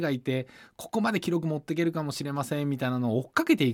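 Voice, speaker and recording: A man talks at a very fast pace. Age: 40s. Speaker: sports business executive and radio host. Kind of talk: casual chat.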